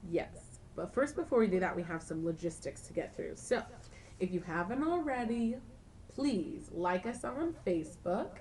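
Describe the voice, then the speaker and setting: At a moderate pace, a woman speaks with an animated tone at a fairly high pitch, her pitch swinging very widely. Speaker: college radio co-host. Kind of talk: casual chat.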